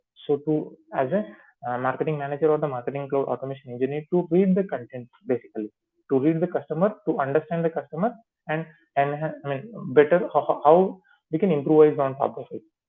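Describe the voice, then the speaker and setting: A man speaks with an Indian accent at a fairly high pitch. His pace is very fast. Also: ordinary pitch variation. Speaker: software trainer. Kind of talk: tutorial. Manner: halting.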